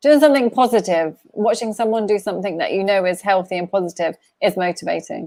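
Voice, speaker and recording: Over a silent background in a very clean recording, a woman talks at a very fast pace with a medium pitch, a dark, mellow tone, and lively intonation. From southern England, Bournemouth. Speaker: life coach. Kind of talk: casual live-stream chat.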